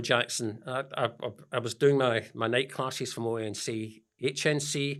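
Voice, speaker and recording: In a very clean recording with a silent background, a man with a Scottish accent speaks at a moderate pace. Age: 70s. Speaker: business founder and mentor. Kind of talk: interview. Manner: halting.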